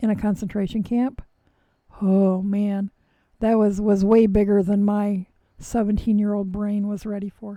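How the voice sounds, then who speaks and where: Her voice medium in pitch with a dark, mellow tone, a woman speaks fairly slowly in a monotone, flat intonation. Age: 60s. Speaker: knitting live streamer. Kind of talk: casual chat. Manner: halting.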